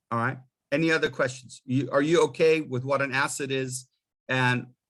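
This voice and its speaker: Delivered at a moderate pace with fairly even intonation, this is an unremarkable speaking voice from a man. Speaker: college finance instructor. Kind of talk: lecture. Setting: video call.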